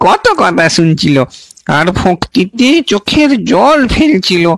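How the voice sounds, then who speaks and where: Putting on a character voice, a man speaks at a high pitch with lively intonation. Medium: read story. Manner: deferential, gossiping.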